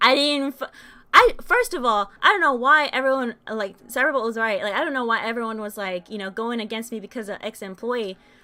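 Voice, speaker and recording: On a very clean recording with a silent background, a woman speaks at a fairly high pitch with a bright, sharp tone. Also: ordinary pitch variation, fairly quick pace, big swings in loudness. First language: Spanish. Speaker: game streamer. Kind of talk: live stream monologue. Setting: live stream. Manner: halting.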